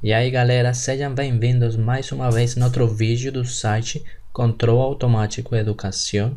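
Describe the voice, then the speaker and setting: Somewhat breathy, a man speaks with audible echo from the room around him. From Colombia. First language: Spanish (speaking Portuguese). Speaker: engineering teacher. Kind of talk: lecture. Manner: slow.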